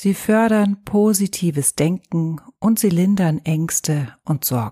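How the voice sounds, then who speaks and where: A woman speaks very slowly in a gentle, soothing tone with ordinary pitch variation. The sound is dry and close, with no echo. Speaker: yoga teacher. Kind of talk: guided meditation. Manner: slow, soothing, calm; soft-spoken, gentle, with long pauses.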